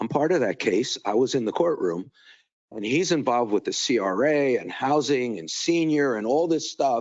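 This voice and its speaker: This man's voice sits at a fairly high pitch. Vocal fry runs through it. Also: lively intonation, moderate pace. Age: 70s. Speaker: public commenter at city meeting. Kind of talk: public comment. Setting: city commission meeting. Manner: halting, repetitive.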